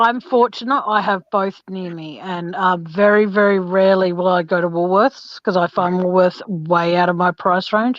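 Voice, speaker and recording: This woman's intonation stays fairly even. She talks with hardly any pauses. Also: medium pitch for a woman, moderate pace. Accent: Australian. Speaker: true crime channel host. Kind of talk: casual chat.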